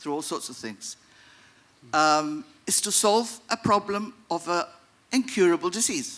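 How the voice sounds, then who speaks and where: With lively intonation, a man speaks in a bright, sharp tone. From Gibraltar. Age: 60s. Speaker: audience member asking a question. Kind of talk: audience comment at a seminar Q&A. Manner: hesitant, with fillers.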